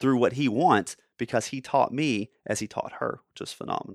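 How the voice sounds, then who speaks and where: A man with an unremarkable speaking voice and medium pitch talks at a fairly quick pace with lively intonation, in a dry, close sound with no echo. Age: 30s. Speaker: podcast host. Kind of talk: motivational monologue.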